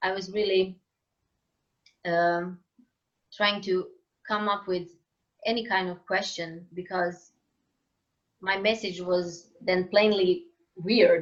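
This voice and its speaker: A woman with a Croatian accent, very slow and flat, with long, frequent pauses. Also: medium pitch for a woman. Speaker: singer-songwriter. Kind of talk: interview conversation. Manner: halting, searching for words.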